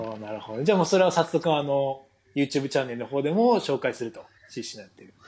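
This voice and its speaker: This man has an ordinary speaking voice at medium pitch. He talks at a fairly quick pace with lively intonation. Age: 20s. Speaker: podcast host, pro footballer. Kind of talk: casual chat.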